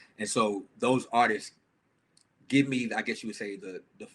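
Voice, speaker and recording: A man talks at a fairly quick pace in a normal speaking voice with a medium pitch. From Atlanta, Georgia (born New York, moved in high school). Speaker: music artist. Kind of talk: interview.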